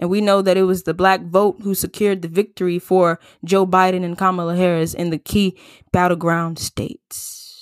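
In a dry, close recording with no echo and a silent, very clean background, a woman with a medium-pitched voice speaks in an animated tone at a moderate pace. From US South, Atlanta, Georgia. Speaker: podcast host. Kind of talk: solo commentary podcast.

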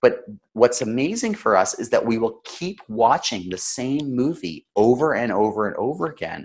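In a very clean recording with a silent background, a man speaks with a Canadian accent at medium pitch. His pace is moderate and his pitch swings very widely. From Canada. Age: 30s. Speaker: storytelling consultant. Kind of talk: interview.

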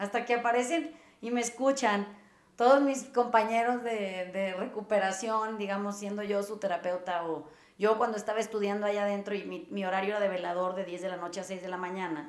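A woman with a Mexican accent at a fairly quick pace, ordinary pitch variation, and audible room echo. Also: medium pitch for a woman. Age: 40s. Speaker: podcast host, therapist. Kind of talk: casual chat.

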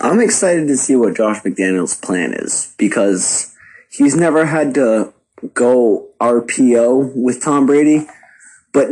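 In a quiet background, a man speaks at a very slow pace and medium pitch with lively intonation. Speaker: sports podcaster. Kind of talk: recorded voice clip opinion.

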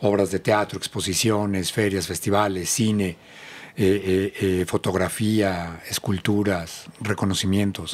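A man at a fairly low pitch with monotone, flat intonation and a moderate pace. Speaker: cultural promoter. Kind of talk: interview.

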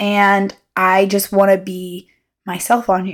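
On a very clean recording with a silent background, a woman talks at a medium pitch. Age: 20s. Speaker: solo podcaster. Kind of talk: casual monologue. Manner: halting, with filler words.

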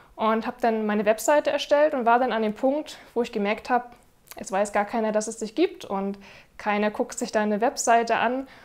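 A woman speaks at a moderate pace in a fairly high pitch with ordinary pitch variation, an ordinary speaking voice. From northern Germany, Rostock. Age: 30s. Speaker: wedding videographer. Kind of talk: testimonial interview.

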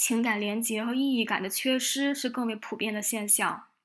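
A woman with an unremarkable speaking voice, fairly high pitch and fairly even intonation at a moderate pace, on a very clean recording with a silent background. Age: 20s. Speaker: podcast host. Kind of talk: reflective solo monologue.

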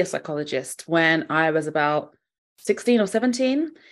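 With a southern English accent, a woman speaks at a moderate pace with very wide pitch swings against a quiet background. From England. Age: 30s. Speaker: fashion psychologist. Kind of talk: interview.

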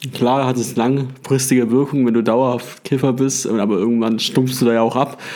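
He has a plain, everyday voice. The man's pitch is medium and his pace moderate. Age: 20s. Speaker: podcast host. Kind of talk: casual chat.

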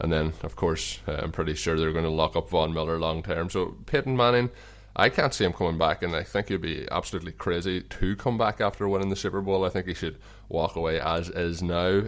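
With an Irish accent, a man talks at a fairly quick pace with ordinary pitch variation against a quiet background. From Ireland. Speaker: podcast host. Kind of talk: casual interview chat. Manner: friendly, conversational.

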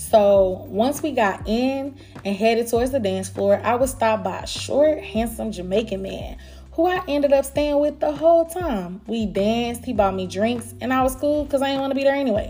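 Amid noticeable background noise, a woman with an American accent speaks at a moderate pace in a fairly high, animated voice with lively intonation. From Dallas, Texas (Pleasant Grove, Oak Cliff, Garland). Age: 30s. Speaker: podcast host. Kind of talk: casual monologue, storytelling. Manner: animated, laughing often.

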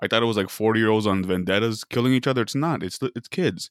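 A man with an American accent, fairly low in pitch, at a very fast pace with ordinary pitch variation, in a dry, close sound with no echo and a very clean recording over a silent background. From Arizona, Casa Grande. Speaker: podcast co-host. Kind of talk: casual chat.

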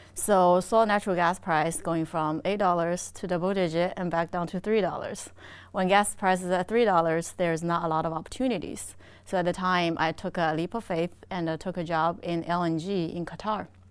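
In a Chinese accent, a woman speaks at a fairly low pitch with fairly even intonation. The recording is very clean, with a silent background. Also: moderate pace. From China. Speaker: energy industry executive. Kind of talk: interview.

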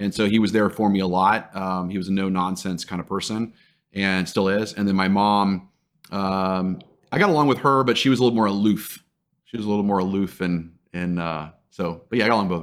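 In a normal speaking voice, a man with fairly low pitch talks at a fairly quick pace with fairly even intonation. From Texas (Dallas). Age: 40s. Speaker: sales trainer and CEO. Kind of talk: interview conversation.

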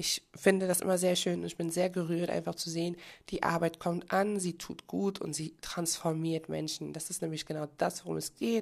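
The speaker uses an ordinary speaking voice with fairly even intonation. The pace is moderate. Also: woman, fairly low pitch for a woman. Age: 30s. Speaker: podcast host and life coach. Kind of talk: motivational monologue.

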